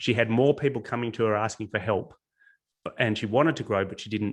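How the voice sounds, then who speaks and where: With an Australian accent, a man talks in a fairly low voice with ordinary pitch variation over a quiet background. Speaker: business coach. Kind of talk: webinar presentation.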